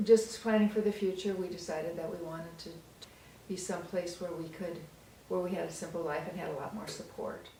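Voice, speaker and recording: Amid audible room echo and noticeable background noise, a woman speaks at a fairly quick pace in a fairly low pitch with fairly even intonation and big swings in loudness. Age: 60s. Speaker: senior co-op resident. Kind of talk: casual interview.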